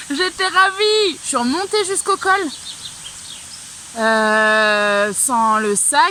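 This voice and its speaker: Amid noticeable background noise, a woman speaks very slowly in a raised, projected, high-pitched voice with very wide pitch swings. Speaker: hiker vlogger. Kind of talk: vlog. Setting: outdoors. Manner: hesitant.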